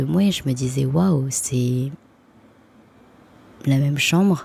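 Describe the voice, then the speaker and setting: Her voice is dark and mellow and somewhat breathy, a woman's with very deep, low pitch and ordinary pitch variation. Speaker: spiritual vlogger. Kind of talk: casual vlog monologue.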